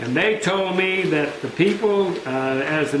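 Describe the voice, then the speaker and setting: Amid noticeable background noise and audible room echo, a high-pitched man speaks with ordinary pitch variation. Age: 70s. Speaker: town mayor. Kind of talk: victory speech to supporters. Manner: casual, conversational.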